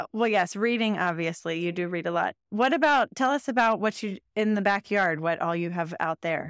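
With lively intonation at a medium pitch, a woman talks in a plain, everyday voice. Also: moderate pace, dry, close sound with no echo. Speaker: podcast host. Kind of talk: interview.

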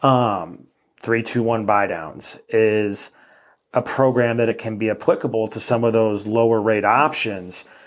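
At a fairly slow pace, a man speaks in a plain, everyday voice. His pitch is medium, and his intonation stays fairly even. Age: 30s. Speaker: mortgage lender. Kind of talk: casual interview.

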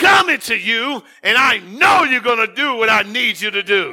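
Shouting in a bright, sharp tone, a man sounds animated, with lively intonation at a moderate pace. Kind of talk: sermon, preacher in full flow, exhorting the congregation. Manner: animated, fervent, call-and-response with exclamations.

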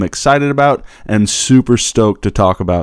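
A man with an American accent speaks in an ordinary speaking voice at medium pitch and ordinary pitch variation, recorded dry and close with no echo and a very clean, silent background. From Kansas. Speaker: podcast host. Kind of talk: podcast intro and interview.

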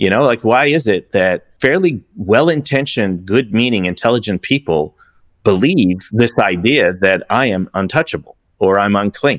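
A man speaks at a moderate pace with an unremarkable speaking voice, fairly low pitch, lively intonation and very even loudness, in a dry, close sound with no echo. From Iran, then Toronto, Canada from age nine. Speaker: business advisor and investor. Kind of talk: interview testimony.

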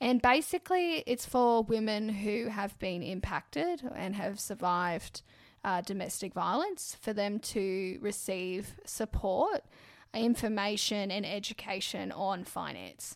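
In an Australian accent, a woman speaks fairly slowly at a medium pitch with ordinary pitch variation. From Brisbane, Australia. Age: 20s. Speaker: podcast co-host, mortgage broker. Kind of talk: casual chat.

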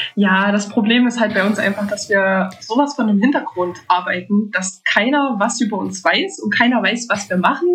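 With hardly any pauses, a woman with an ordinary speaking voice talks at a moderate pace and a fairly high pitch, with ordinary pitch variation. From Thuringia, Germany. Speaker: medical lab technician. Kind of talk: casual interview chat.

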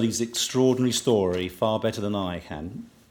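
Under the man's voice, background noise is noticeable. His pitch moves in an ordinary way. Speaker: event host. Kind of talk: formal stage introduction. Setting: stage with audience.

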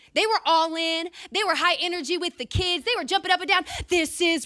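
In a very clean recording with a silent background, a woman speaks at a very fast pace in an extremely high, raised and projected voice with a bright, sharp and animated tone. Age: 20s. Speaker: church leader giving a talk. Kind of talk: sermon.

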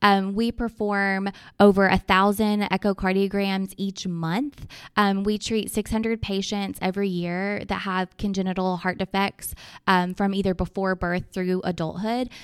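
A woman speaks in a monotone, flat way with an Arkansas accent. The sound is dry and close with no echo, on a very clean recording with a silent background. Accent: Southern US (Arkansas). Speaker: children's charity fundraiser. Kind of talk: podcast interview.

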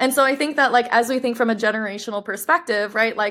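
On a very clean recording with a silent background, a woman with an American accent speaks in a bright, sharp tone with fairly even intonation. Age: 20s. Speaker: brand co-founder. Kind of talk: interview.

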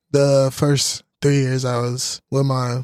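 Here a man speaks at a medium pitch and a fairly slow pace. His intonation is monotone and flat. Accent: American. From Houston, Texas. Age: 20s. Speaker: college football player. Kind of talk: casual chat.

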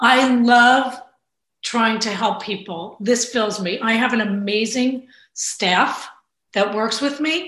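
In a room with audible echo, a woman talks very slowly at a fairly high pitch, with ordinary pitch variation. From New Jersey, Bayonne (Hudson County). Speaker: state legislator. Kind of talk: interview.

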